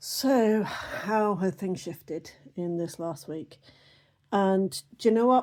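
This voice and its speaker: Speaking at a very slow pace with a British accent, a woman uses a medium pitch, lively intonation and big swings in loudness on a very clean recording with a silent background. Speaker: oracle card reader. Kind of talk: casual spiritual reading.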